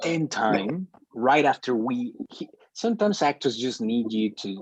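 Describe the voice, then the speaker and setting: This man has a non-native accent. He talks at a fairly slow pace. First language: not English. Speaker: media studies student. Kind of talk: group discussion. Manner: halting, many repetitions.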